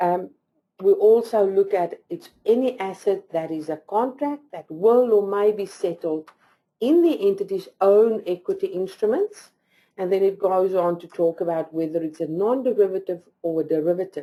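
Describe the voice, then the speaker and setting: A woman with a non-native accent speaks at a moderate pace and medium pitch, her tone dark and mellow. Her pitch variation is ordinary, while her loudness swings widely. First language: not English. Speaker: accounting presenter. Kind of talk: lecture. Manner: halting.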